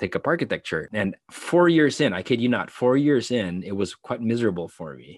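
A man with a Filipino accent speaks at a fairly low pitch with very wide pitch swings. The sound is dry and close with no echo, over a quiet background. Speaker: actor and filmmaker. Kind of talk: casual interview chat.

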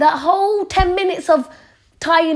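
This is a woman speaking with a London accent. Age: 20s. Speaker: podcaster. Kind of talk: casual chat. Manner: chatty, informal.

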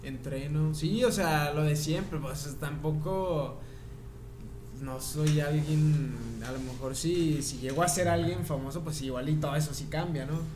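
A man speaks at a fairly high pitch with fairly even intonation. Noticeable background noise and audible room echo are present. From Torreón, Comarca Lagunera, Mexico. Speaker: singer-songwriter. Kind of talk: casual chat.

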